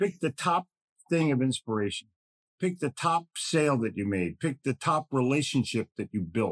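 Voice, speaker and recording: With an American accent, a man talks at a moderate pace. His fairly high pitch moves in very wide swings. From Philadelphia, US. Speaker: podcast host, sales author. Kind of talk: motivational podcast talk.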